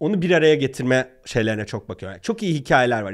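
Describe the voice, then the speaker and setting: The background is quiet. The intonation is lively. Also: man. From Turkey. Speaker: startup founder; podcast guest. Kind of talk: interview. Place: studio. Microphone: studio mic.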